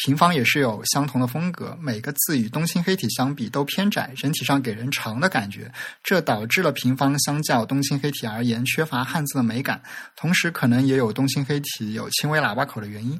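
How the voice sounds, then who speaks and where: The recording is very clean and the background silent. The speech goes at a fairly quick pace. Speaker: podcast host on typography. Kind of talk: casual chat.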